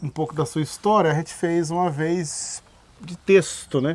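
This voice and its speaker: Fairly high in pitch, a man has an unremarkable speaking voice. His intonation is fairly even. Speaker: rodeo journalist, interviewer. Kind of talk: interview questions. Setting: outdoors at rodeo park, background noise.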